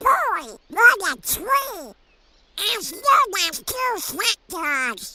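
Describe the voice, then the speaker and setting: Putting on a character voice, a man speaks very slowly at an extremely high pitch with very wide pitch swings. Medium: dub.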